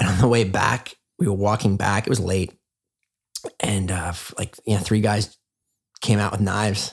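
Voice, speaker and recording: A man with a Canadian accent, somewhat breathy and fairly low-pitched, at a moderate pace with fairly even intonation and long, frequent pauses. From Canada, small town. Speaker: former finance worker turned wellness enthusiast. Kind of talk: casual chat. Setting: in-person at host's home.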